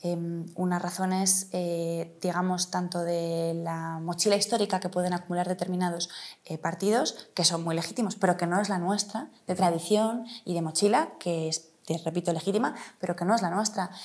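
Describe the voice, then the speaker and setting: Fairly low in pitch, a woman speaks at a moderate pace with fairly even intonation. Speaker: politician, city councillor and mayoral candidate; politician, city councillor, candidate. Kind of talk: interview. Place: office. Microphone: lapel.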